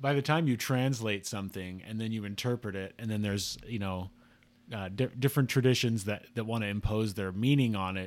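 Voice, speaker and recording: With an American accent, a man talks at a fairly quick pace and ordinary pitch variation on a very clean recording with a silent background. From Utah, Salt Lake area. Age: 40s. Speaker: blogger discussing scripture and symbolism. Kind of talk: casual chat. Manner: halting, frequent restarts.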